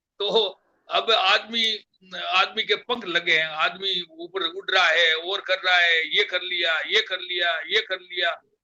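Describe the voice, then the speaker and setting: High pitch for a man, with intonation that stays fairly even. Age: 70s. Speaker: community elder, guest. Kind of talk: interview, reflective talk. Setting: live online program. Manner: halting, many fillers.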